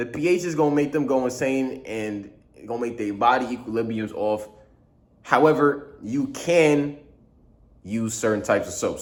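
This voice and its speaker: In a room with audible echo, a man with a medium-pitched voice speaks with lively intonation. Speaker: vlogger. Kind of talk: casual vlog monologue. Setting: studio. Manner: fast; slurred at times.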